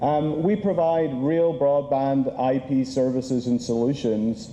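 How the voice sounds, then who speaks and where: A man's medium-pitched voice with ordinary pitch variation, against noticeable background noise. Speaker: conference speaker. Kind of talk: conference presentation.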